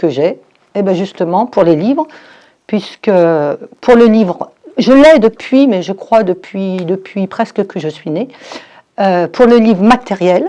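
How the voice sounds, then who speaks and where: A woman speaks with lively intonation. Her pace is very slow. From France, Forez (Loire). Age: 60s. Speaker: novelist, former teacher. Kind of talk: interview. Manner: hesitant, with fillers.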